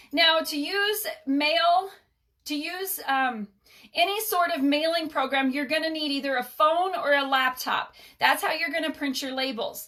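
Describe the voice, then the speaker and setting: Using a raised, projected voice, a woman speaks fairly slowly at an extremely high pitch, her tone bright and sharp and her pitch variation ordinary. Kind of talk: live stream tutorial. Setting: home mailing room. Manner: animated.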